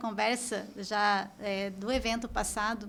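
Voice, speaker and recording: A woman's monotone, flat intonation. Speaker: company staff co-host. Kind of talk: podcast conversation.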